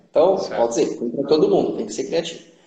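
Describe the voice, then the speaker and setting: A man is speaking. There is audible room echo. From Brazil, Ribeirão Preto (São Paulo state). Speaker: leadership specialist, engineer. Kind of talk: live-stream interview. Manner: halting, many fillers.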